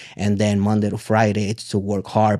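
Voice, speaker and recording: This voice carries a Spanish accent. Its intonation is monotone and flat. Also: man. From Puerto Rico. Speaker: entrepreneur. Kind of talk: interview.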